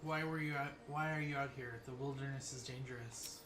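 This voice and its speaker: Putting on a character voice, a man speaks at a fairly high pitch and a fairly quick pace. Loud noise fills the background. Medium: video game.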